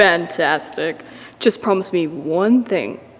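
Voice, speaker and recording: In a put-on character voice, a female-sounding speaker talks at a fairly slow pace with a fairly low pitch for a woman. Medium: short film.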